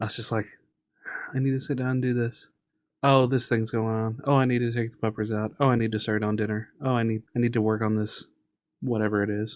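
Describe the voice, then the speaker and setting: A man talks at a very fast pace in a medium pitch, his intonation monotone and flat. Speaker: podcast co-host. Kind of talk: casual chat. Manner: projects voice, loud.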